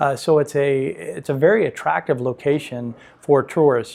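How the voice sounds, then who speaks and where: With an American accent, a man talks at a moderate pace in a fairly high pitch with fairly even intonation. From San Pedro, Los Angeles, California. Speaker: realtor. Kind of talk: interview answer.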